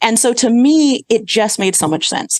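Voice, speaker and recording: A plain, everyday voice talks at a moderate pace, recorded dry and close with no echo. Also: woman. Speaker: healthcare executive. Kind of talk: podcast interview.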